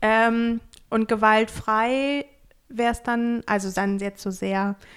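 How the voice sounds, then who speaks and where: Over a silent background on a very clean recording, a woman speaks with a fairly high pitch and monotone, flat intonation. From Hesse, Germany (Bad Homburg). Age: 30s. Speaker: self-employed trainer. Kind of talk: interview.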